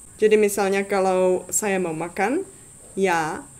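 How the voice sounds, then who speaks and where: A woman speaks at a very slow pace with a Czech accent. Her voice is medium in pitch. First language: Czech (speaking Indonesian). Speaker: language tutor YouTuber. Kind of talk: tutorial. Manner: halting, many fillers.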